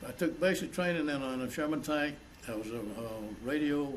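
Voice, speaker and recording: There is audible room echo as a man with an American accent speaks at a fairly quick pace with ordinary pitch variation. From South Carolina, Langley. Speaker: war veteran. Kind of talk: oral history interview. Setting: college. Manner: halting.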